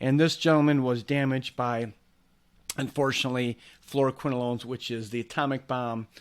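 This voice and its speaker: Enthusiastic in tone, a man speaks at a moderate pace and a medium pitch. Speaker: chiropractor and functional medicine practitioner. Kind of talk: educational case study talk to camera. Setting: video monologue. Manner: conversational, enthusiastic, emphatic.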